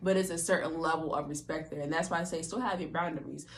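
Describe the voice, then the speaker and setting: A woman is heard with audible room echo. Noticeable background noise sits behind her. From Baltimore, US. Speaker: podcast host. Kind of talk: casual chat. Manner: loud; animated, forceful.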